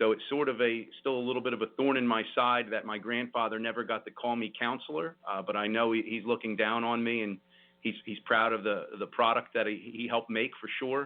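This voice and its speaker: This man has a New Jersey accent and a medium pitch. He talks at a fairly quick pace with fairly even intonation. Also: hardly any pauses. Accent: New Jersey American. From South Jersey, Vineland, New Jersey. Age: 40s. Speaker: lawyer and state senate candidate. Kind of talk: radio interview.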